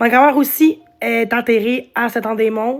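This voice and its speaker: Her pitch is fairly high for a woman. She keeps her intonation fairly even. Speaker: live streamer. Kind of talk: casual live stream chat. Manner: halting.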